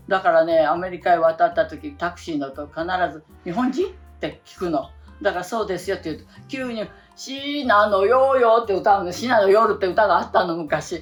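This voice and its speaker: A woman speaks at a moderate pace in a medium pitch, with very wide pitch swings and big swings in loudness. Her tone is cheerful, and music plays in the background. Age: 80s+. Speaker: actress and singer. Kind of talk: interview answer. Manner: cheerful, chatty.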